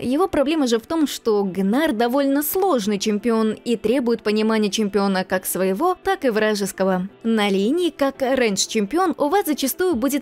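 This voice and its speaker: With music in the background, a woman speaks at a moderate pace in a fairly high pitch, using an upbeat tone and very wide pitch swings. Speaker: voice-over dubber. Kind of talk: video game guide narration.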